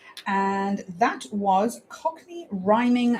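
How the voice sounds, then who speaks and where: A woman talks at a very slow pace with a medium pitch. Noticeable background noise runs under her voice. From South Africa. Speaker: radio presenter. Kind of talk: live radio show presenting. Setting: studio. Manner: upbeat, light-hearted.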